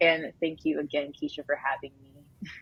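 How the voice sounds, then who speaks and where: A woman talks at a fairly quick pace in a fairly low pitch, with an ordinary speaking voice. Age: 20s. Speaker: journalism student. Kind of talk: podcast conversation.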